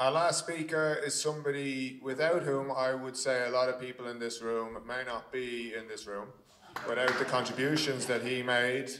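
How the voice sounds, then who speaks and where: Speaking at a moderate pace with fairly even intonation, a man is heard with audible room echo and light background noise. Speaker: event host introducing the speaker. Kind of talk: stage introduction. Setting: stage with audience. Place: hall. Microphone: handheld.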